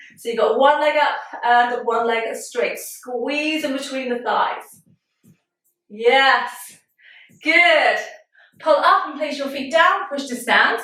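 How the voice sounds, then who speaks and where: A woman speaks in a raised, projected voice with a bright, sharp tone and high pitch, her loudness swinging widely as she goes at a very slow pace with long, frequent pauses, and room echo is audible. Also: ordinary pitch variation. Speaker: pole fitness instructor. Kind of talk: live online fitness class. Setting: video call. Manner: animated.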